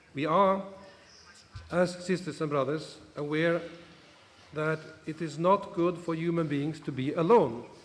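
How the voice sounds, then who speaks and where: Amid audible room echo, a man speaks slowly-ish at a fairly high pitch, with fairly even intonation and long, frequent pauses. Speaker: bishop. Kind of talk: conference speech.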